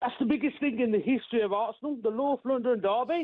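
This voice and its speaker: A man with an English Midlands accent speaks at an extremely high pitch. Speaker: caller. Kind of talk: radio phone-in. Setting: phone call. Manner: halting.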